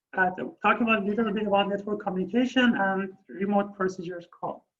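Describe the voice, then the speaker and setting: In a Persian accent, the speaker talks at a moderate pace. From Iran. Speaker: university lecturer. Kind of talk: lecture. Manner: halting.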